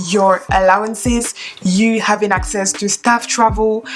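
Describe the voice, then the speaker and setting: A woman with a French accent speaks at a fairly high pitch and fairly slow pace with fairly even intonation, over noticeable background noise. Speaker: flight attendant and YouTuber. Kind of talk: tutorial.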